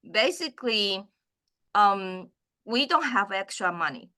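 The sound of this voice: A woman talks at medium pitch and a fairly slow pace. Her tone is bright and sharp, with ordinary pitch variation.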